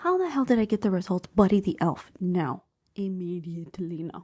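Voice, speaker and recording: Her voice is somewhat breathy as a woman speaks at a medium pitch and a moderate pace. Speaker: podcast host. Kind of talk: casual chat. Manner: quiet, holding back voice.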